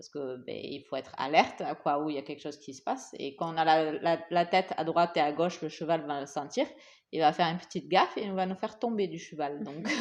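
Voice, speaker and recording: Against a quiet background, a woman with a slight non-native accent speaks very fast in a very deep, low voice, with ordinary pitch variation and big swings in loudness. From Asia. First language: English (speaking French). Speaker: podcast co-host. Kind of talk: casual chat. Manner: halting.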